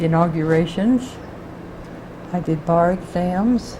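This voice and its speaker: The speech moves at a fairly slow pace. Noticeable background noise sits behind it. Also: woman. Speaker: retired clerk of the state supreme court. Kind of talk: interview answer.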